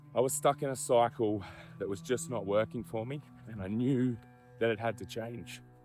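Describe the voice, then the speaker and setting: Music plays in the background as a man speaks with an Australian accent. His voice sits at a medium pitch, with ordinary pitch variation and a moderate pace. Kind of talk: personal story to camera. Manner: candid, casual.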